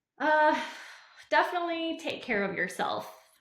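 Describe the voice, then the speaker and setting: A woman speaks at a fairly slow pace, with audible room echo. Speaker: high school teacher. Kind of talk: casual interview chat. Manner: hesitant, many fillers and repetitions.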